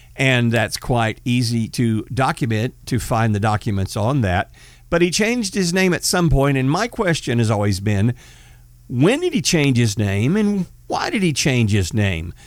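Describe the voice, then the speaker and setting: With a Texan accent, a man talks at a moderate pace with very wide pitch swings and very even loudness, in a very clean recording over a silent background. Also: medium pitch for a man. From Northeast Texas. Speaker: podcast host, former police officer. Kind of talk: casual political talk.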